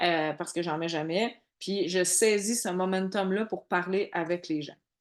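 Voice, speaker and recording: Fairly slow and medium in pitch, a woman speaks with a Quebec accent. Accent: Québécois French. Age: 40s. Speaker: network marketing coach. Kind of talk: online training workshop. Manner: loud, animated.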